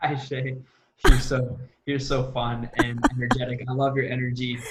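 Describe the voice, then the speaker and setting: Audible room echo follows a man with an American accent and medium pitch as he speaks at a moderate pace in monotone, flat intonation. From US, Assyrian Iraqi refugee family. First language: Aramaic. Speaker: sales coach and entrepreneur. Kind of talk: interview.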